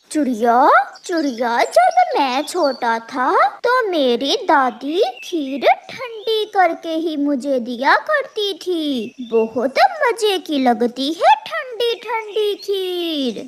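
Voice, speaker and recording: Delivered at a very slow pace, a cartoonish character voice sits at an extremely high pitch with very wide pitch swings. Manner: sly, cheeky.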